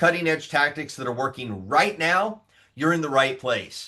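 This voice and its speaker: Lively intonation from a man with a fairly high pitch and a bright, sharp tone. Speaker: podcast host. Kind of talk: podcast intro. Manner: upbeat.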